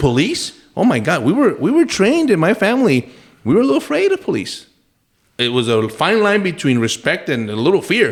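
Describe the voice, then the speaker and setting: A man talking at a fairly quick pace with very even loudness. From Texas, El Paso. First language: Spanish. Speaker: retired federal agent and congressional candidate. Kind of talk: casual chat.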